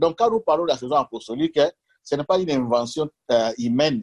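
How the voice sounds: A man's medium-pitched voice, slightly husky at the edge and slightly mellow in tone, with a dry, close sound and no echo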